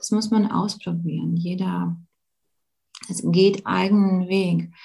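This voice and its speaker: A woman speaks with a Latvian accent. Her tone is calm and gentle. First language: Latvian (speaking German). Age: young. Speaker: yoga teacher and emotion coach. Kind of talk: online live talk with Q&A. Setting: live video call. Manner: calm, gentle.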